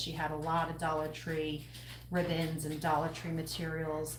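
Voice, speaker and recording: Speaking with a Long Island accent, a woman has a very deep, low pitch, with audible room echo and noticeable background noise. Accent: Long Island New York. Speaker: craft tutor and small business owner. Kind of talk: live-stream craft tutorial. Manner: casual, chatty.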